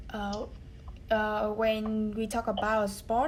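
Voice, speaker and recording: A woman's somewhat breathy voice. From Vietnam. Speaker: English learner. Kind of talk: speaking test practice. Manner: halting.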